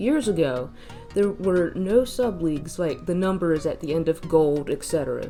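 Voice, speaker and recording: A woman with a fairly low pitch speaks at a moderate pace, her voice swinging very widely in pitch over music in the background. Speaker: mobile game commentator. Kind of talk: game analysis narration.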